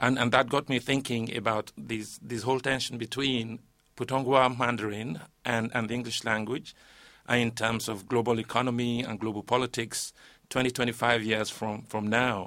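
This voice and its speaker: Monotone, flat speech from a man at medium pitch and a moderate pace. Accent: Yoruba. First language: Yoruba. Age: 50s. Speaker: linguist and poet. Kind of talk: panel discussion. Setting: studio.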